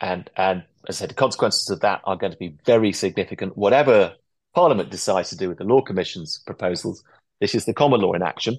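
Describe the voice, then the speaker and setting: Against a quiet background, a man with an English accent speaks very fast at a fairly low pitch with ordinary pitch variation. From England. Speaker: barrister. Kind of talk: interview. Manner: articulate.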